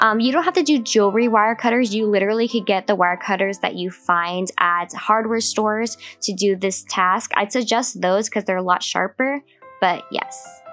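With music playing in the background, a woman with an American accent speaks at medium pitch with ordinary pitch variation. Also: moderate pace. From US West Coast, Los Angeles. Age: 20s. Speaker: craft tutorial creator. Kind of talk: tutorial. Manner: casual.

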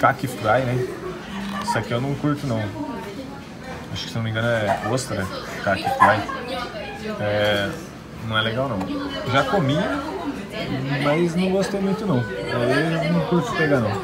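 The speaker goes at a fairly slow pace with long, frequent pauses. Clear music plays in the background. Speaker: restaurant vlogger. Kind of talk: casual vlog chat. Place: cafe. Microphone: phone near.

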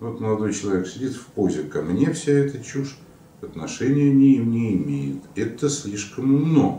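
Talking at a fairly slow pace, a man is heard with audible room echo. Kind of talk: lecture-style explanation to camera. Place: office.

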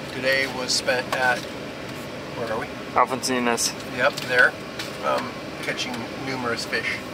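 A man at a fairly slow pace over loud background noise, the sound dry with no echo. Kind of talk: casual interview answers. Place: car. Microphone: phone near.

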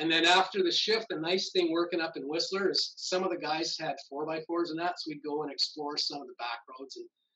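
A man speaks in a high pitch with a bright, sharp tone. His pace is fairly quick and his pitch varies in an ordinary way. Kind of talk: interview answer. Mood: warm, fond. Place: office. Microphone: video call.

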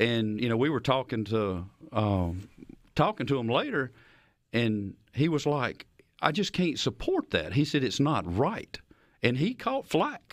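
Against a quiet background, a man with a Southern US accent speaks at a fairly slow pace, with very wide pitch swings and long, frequent pauses. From rural Mississippi, Lincoln County. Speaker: state legislator and farmer. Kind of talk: political interview. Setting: studio. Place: studio. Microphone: studio mic.

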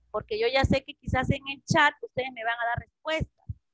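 A woman speaks at a high pitch and a moderate pace, with ordinary pitch variation. The sound is dry with no echo over a quiet background. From Peru. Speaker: school English teacher. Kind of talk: online class lesson. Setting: video call. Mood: warm, patient. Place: home room. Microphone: video call.

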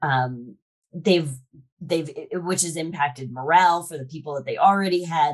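Against a quiet background, a woman speaks at a moderate pace in a very deep, low pitch with ordinary pitch variation. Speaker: podcast guest, sales expert. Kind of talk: interview answer. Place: home room. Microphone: video call.

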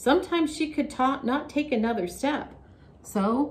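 A woman's somewhat breathy voice. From Canada. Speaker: children's Sunday school storyteller. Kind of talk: children's Bible storytelling. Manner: gentle and slow. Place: classroom.

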